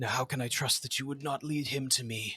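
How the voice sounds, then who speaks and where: A put-on character voice at a low-to-middle pitch, fairly quick, with monotone, flat intonation. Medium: actual play. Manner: formal, earnest.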